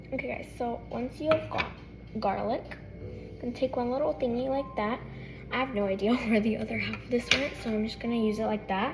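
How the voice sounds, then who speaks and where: A woman talks fairly quickly as background noise remains noticeable. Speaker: cooking vlogger. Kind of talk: tutorial. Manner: fast.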